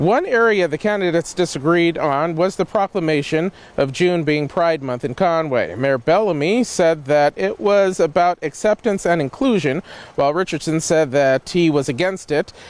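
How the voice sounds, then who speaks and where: Recorded dry and close with no echo, a man with an American accent uses a normal speaking voice, fairly high in pitch, with lively intonation. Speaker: TV news reporter and anchor. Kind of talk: live TV news reporter delivery.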